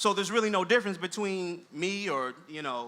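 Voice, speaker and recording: A man projects a raised voice at a high pitch, his tone bright and sharp. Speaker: college dean and education scholar giving a talk. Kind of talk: lecture-style talk with slides. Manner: fast.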